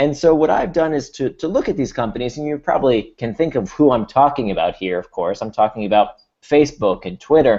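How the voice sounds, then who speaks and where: Against a quiet background, a man with an American accent talks fairly quickly in a dark, mellow tone at a fairly high pitch. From US. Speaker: author and speaker. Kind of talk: webinar presentation.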